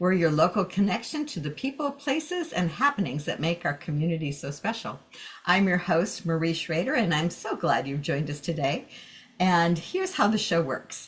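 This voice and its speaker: This woman's voice is somewhat breathy and fairly low. Her pitch swings very widely. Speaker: radio host. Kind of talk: radio interview. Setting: studio. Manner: fast.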